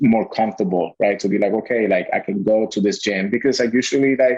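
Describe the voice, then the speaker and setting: A man with a Spanish accent. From Puerto Rico. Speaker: gym owner. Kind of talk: interview.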